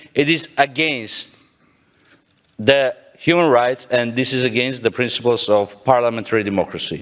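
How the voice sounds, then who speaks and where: A man with a non-native accent speaks at a medium pitch with ordinary pitch variation. He leaves long, frequent pauses. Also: moderate pace. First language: not English. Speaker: parliamentarian, delegate. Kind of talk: parliamentary point of order. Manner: formal.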